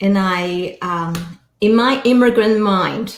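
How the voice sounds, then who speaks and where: A woman at medium pitch with lively intonation. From Hong Kong. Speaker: financial advisor and speaker. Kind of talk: interview chat. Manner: loud.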